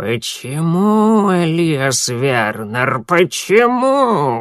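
A man puts on a creaky character voice at a fairly high pitch. He moves very slowly, with very wide pitch swings.

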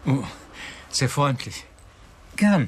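A man puts on a character voice at medium pitch with a slightly husky edge. He drawls very slowly, his pitch swinging widely.

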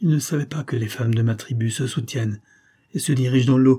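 This recording is plain reading aloud.

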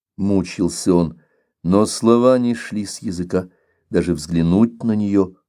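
Quiet surroundings, a natural reading voice, and ordinary pitch variation

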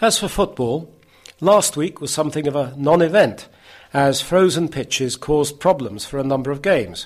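Speaking at a moderate pace, a man uses lively intonation at a fairly high pitch in a plain, everyday voice. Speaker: editor and presenter of a talking newspaper. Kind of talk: news magazine presenter. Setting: church hall recording.

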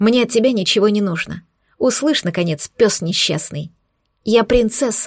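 Against a quiet background, we hear an unforced reading voice.

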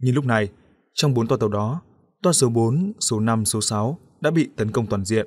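The surroundings are quiet. What we hear is a natural reading voice.

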